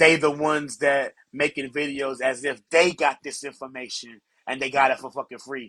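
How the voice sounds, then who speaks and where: A man speaks loudly at a moderate pace and a fairly high pitch. His tone is bright and sharp, his intonation monotone and flat. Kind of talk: casual chat.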